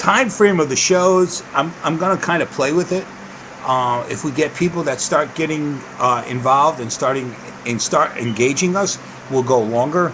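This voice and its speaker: A man with an East Coast US accent, lively intonation and a moderate pace, over noticeable background noise. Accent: East Coast US accent, unchanged. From US East Coast. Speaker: video podcast host on diabetes. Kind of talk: casual live show talk. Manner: casual, meandering with fillers.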